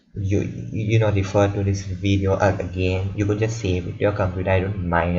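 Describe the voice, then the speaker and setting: Amid audible room echo, a somewhat breathy man with fairly low pitch speaks at a fairly quick pace. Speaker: student tutor explaining algorithms. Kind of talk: tutorial. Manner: halting, many repetitions.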